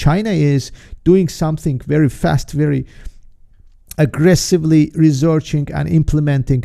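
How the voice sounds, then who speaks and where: A man with a non-native accent speaks in a dark, mellow tone with ordinary pitch variation. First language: not English. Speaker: trader and market analyst hosting a webinar. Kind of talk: live webinar presentation. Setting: live stream. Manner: halting, with many fillers and restarts.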